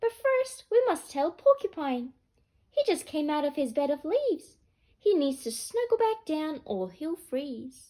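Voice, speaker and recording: A woman speaks at a moderate pace in a squeaky, high-pitched put-on character voice. Her pitch swings very widely. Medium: read story.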